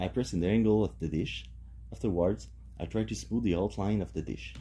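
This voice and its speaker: At a fairly quick pace, a man talks in a very deep, low voice with a dark, mellow tone. His pitch swings very widely, with vocal fry. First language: French. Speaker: home cook. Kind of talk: tutorial.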